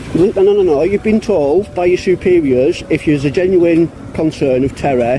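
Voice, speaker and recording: The speaker has a northern English accent. Noticeable background noise runs under the voice. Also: man. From northern England. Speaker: police-auditing vlogger. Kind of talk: confrontation with police. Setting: outdoors outside a police station. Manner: firm, assertive.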